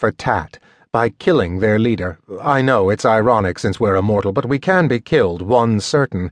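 This recording consists of plain reading aloud.

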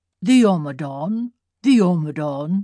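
This is a put-on character voice with a wheezy sound. It sits at a middle pitch and moves at a fairly slow pace. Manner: crying out.

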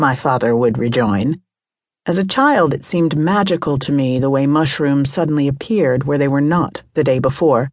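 The tone is warm, and the pace is moderate. Pitch varies in an ordinary way. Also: woman. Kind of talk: audiobook narration. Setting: studio. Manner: measured, warm, even-paced reading.

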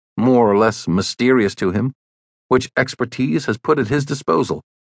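A man talks at a moderate pace in a normal speaking voice. His pitch sits in the medium range. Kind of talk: audiobook narration. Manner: formal; measured, even-paced.

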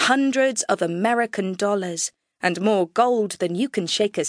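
Someone reads in an unforced voice against a quiet background.

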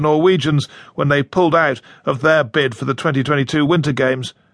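A man in a normal speaking voice at a moderate pace, ordinary pitch variation, quiet background. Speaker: radio news presenter. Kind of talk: news reading. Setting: studio. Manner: formal; brisk, measured, authoritative.

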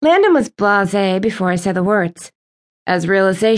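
Little sound comes from the background. The reading voice is natural, with lively intonation.

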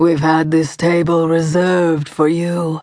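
This put-on character voice is raspy and sits at a middle pitch. The delivery is fairly slow, with monotone, flat intonation. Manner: polite, hosting.

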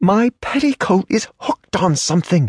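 A man puts on a character voice, high-pitched with very wide pitch swings and a hissing sound, at a moderate pace. The recording is dry and close, with no echo. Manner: hissed, embarrassed.

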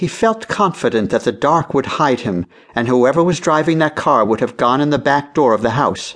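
Against a quiet background, a man with a normal speaking voice talks at a moderate pace and fairly high pitch, with lively intonation and very even loudness. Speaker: audiobook narrator. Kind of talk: dramatic audiobook narration of a children's mystery. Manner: suspenseful, hushed and building tension.

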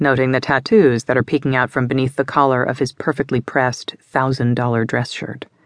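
The voice heard here is a natural reading voice.

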